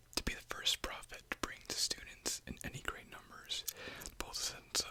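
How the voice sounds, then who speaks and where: Whispering goes on at a moderate pace against noticeable background noise. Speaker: ASMR creator. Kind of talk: ASMR reading with gum chewing, whispered. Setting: close-mic ASMR, headphones.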